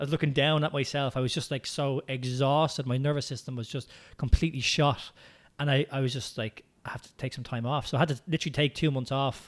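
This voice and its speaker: Very fast and in an Irish accent, a man speaks at a fairly high pitch with fairly even intonation and big swings in loudness, in a very clean recording with a silent background. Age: 30s. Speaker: movement coach and business owner. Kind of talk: casual interview chat.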